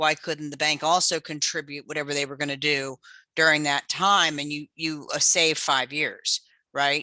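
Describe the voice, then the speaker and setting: A woman talks with a very deep, low pitch and a bright, sharp tone. Her intonation is monotone and flat, over a quiet background. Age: 60s. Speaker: webinar host. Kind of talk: Q&A discussion.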